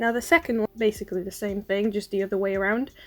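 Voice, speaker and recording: Very fast speech from a woman at a fairly high pitch, with lively intonation and music in the background. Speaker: science YouTuber. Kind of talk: educational explainer, unscripted. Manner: quiet, trying to speak louder.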